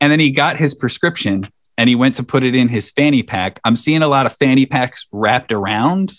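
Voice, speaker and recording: An ordinary speaking voice, a man talks at a fairly quick pace and medium pitch with ordinary pitch variation, very even loudness and a dry, close sound with no echo. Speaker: podcast host. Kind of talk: casual chat.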